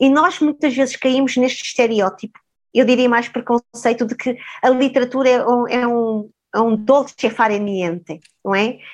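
Speaking at a moderate pace, a woman has a high pitch with ordinary pitch variation. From Mozambique (Maputo), then Portugal. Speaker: sociologist and professor. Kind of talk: interview conversation.

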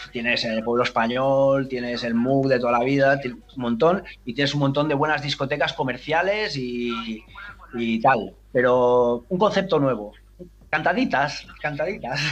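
A man at a fairly slow pace, medium pitch and ordinary pitch variation, with an unremarkable speaking voice. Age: 50s. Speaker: DJ. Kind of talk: interview.

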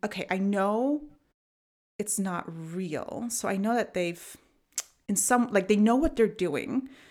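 A woman speaks with an American accent at a medium pitch and a fairly slow pace. She has an unremarkable speaking voice with ordinary pitch variation. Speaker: podcast host. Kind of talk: casual chat. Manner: laughs often.

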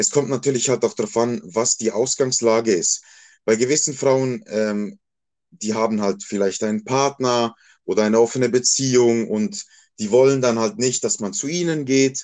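A man with an unremarkable speaking voice talks at medium pitch. His intonation is lively and his pace moderate. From Switzerland, Basel area. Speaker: male escort. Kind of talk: casual interview.

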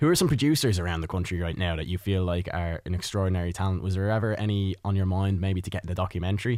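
Recorded very cleanly with a silent background, a man with an Irish accent talks at a very fast pace in a very deep, low pitch. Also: ordinary pitch variation. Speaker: radio host. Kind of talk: radio interview. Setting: studio.

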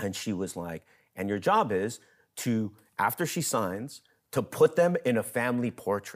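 A man's plain, everyday voice at medium pitch, with lively intonation and a moderate pace, in a very clean recording with a silent background. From US, Mexican-American. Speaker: theater program director and actor. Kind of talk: interview conversation.

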